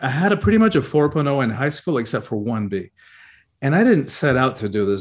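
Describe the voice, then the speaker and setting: In a quiet background, a man with an American accent and an unremarkable speaking voice talks at a fairly quick pace with lively intonation. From Cuba, emigrated to the US at ten. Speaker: spiritual teacher and author. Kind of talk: interview. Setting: video call.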